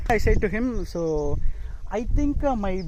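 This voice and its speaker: A man with a Tamil Nadu accent talks at a fairly slow pace. His pitch varies in an ordinary way, and there is noticeable background noise. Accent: Tamil Indian English. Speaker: motorcycle vlogger. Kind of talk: casual vlog narration. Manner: hesitant, many fillers.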